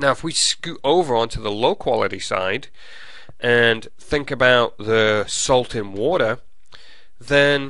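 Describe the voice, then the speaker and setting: A man's fairly slow speech with an English accent, a bright, sharp tone and ordinary pitch variation. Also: medium pitch for a man. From England. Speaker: college professor. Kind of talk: lecture.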